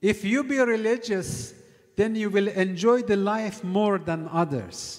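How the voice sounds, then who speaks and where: A man talks at a very slow pace with lively intonation. The background is quiet. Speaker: cleric lecturer. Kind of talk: sermon. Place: church. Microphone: studio mic.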